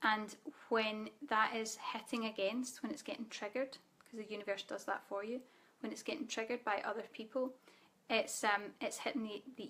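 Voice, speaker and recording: A woman speaks at a fairly quick pace with a fairly high pitch. Her intonation stays fairly even. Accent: Scottish. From Scotland. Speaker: spiritual coach. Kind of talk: live Q&A webinar. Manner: casual.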